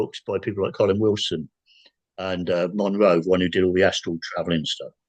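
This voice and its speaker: A man with an English accent, in a dry, close sound with no echo. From England. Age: 60s. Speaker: paranormal experiencer. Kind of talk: casual chat. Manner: halting.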